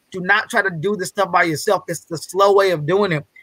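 The voice is raised and projected, bright and sharp in tone, with ordinary pitch variation. The sound is dry with no echo over a quiet background. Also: man. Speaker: guest speaker on a business masterclass. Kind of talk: motivational, casual. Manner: fast talker; fast talker, excitable. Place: home room.

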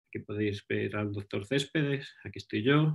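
With a Castilian accent, a man talks at a moderate pace in a somewhat breathy, fairly low voice with ordinary pitch variation against a quiet background. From Spain, Ávila; Spain. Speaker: research scientist. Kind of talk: lecture. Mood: relaxed, friendly. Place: home room. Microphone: webcam.

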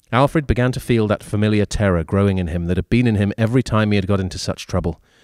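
Someone is plainly reading aloud with ordinary pitch variation.

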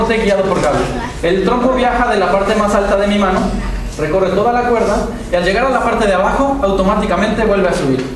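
Speech comes at a very fast pace with ordinary pitch variation. Strong room echo and noticeable background noise surround it. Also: man, high pitch for a man. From Mexico. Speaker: spinning-top performer. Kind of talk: live demonstration for schoolchildren. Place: hall.

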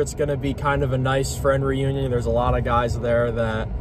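Noticeable background noise accompanies a man recorded in a dry sound with no echo. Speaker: vlogger. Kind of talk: casual vlog chat.

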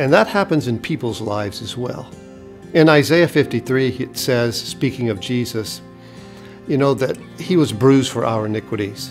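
Clear music plays in the background. A man speaks with ordinary pitch variation. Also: moderate pace. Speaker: pastor. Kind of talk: devotional sermon talk to camera. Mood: warm, earnest. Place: studio.

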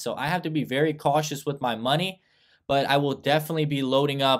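A man speaks fairly quickly, and the background stays quiet. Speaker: stock commentator. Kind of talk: commentary. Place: home room. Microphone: webcam.

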